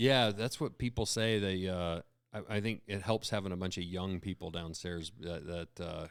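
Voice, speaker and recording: A man with an American accent speaks at a very deep, low pitch. He keeps a moderate pace on a very clean recording with a silent background. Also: ordinary pitch variation. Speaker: podcast host. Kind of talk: casual chat.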